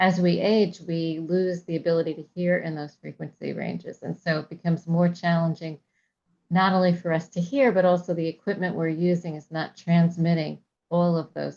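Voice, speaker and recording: The speaker is soft-spoken and fairly quick, with a dark, mellow tone and monotone, flat intonation. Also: woman. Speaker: seminar presenter. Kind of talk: casual chat before a video meeting.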